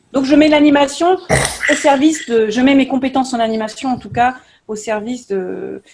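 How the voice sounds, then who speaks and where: At a moderate pace, a somewhat breathy voice speaks with ordinary pitch variation. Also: woman. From France, Nantes. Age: 40s. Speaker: youth activity leader and local candidate. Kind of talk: online panel interview.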